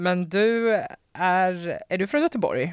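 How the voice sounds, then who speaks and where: A woman at fairly low pitch in a dry, close sound with no echo, on a very clean recording with a silent background. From Västernorrland, northern Sweden (Sundsvall). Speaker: podcast host. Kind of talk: casual chat. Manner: animated.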